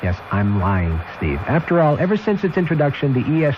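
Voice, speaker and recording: Pitch swings very widely as a man speaks at a fairly quick pace over noticeable background noise. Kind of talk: radio commercial read.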